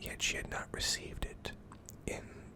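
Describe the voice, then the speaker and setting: A whispered voice comes through against noticeable background noise. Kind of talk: reading a character biography.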